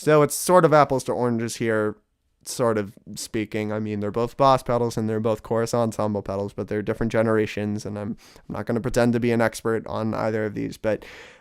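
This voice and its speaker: At a very fast pace, the voice holds a fairly even intonation on a very clean recording with a silent background. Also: man, medium pitch for a man. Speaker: guitar gear reviewer. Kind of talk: gear comparison tutorial. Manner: casual, hesitant.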